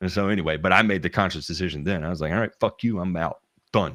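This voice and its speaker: Very fast and fairly even in intonation, a man with a Southern US accent speaks in a very deep, low voice, recorded very cleanly against a silent background. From US South. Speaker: lawn care professional. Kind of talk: casual chat. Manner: halting, many restarts.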